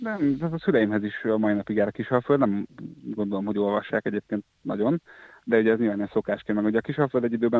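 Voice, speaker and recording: This is a normal speaking voice. Its pitch varies an ordinary amount. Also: man. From Hungary, Győr. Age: 30s. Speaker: journalist, former editor-in-chief. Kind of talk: interview. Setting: phone call.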